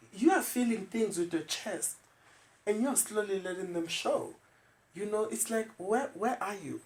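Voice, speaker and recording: A man speaks with a South African accent. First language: isiZulu. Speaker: podcast host. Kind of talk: casual chat.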